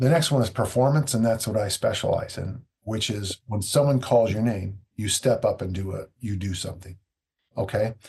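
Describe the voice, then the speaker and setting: A somewhat breathy man's voice at a medium pitch and moderate pace, with ordinary pitch variation. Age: 60s. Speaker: strength coach. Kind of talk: podcast interview.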